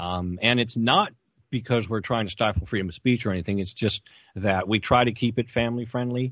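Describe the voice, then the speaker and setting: Speaking at a fairly quick pace, a man with an ordinary speaking voice keeps a medium pitch and fairly even intonation. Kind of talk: casual commentary.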